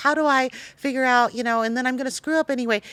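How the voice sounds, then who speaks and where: The recording is very clean with a silent background. A woman with an American accent and a high pitch talks at a very fast pace. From Taiwan-born Chinese American, raised in US. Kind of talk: podcast interview.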